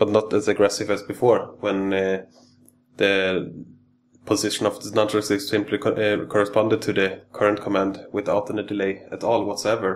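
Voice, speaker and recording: A man speaks at a moderate pace in a fairly low, monotone voice with flat intonation. Light background noise is audible. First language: not English. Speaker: electronics hobbyist engineer. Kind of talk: technical tutorial demo. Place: workshop.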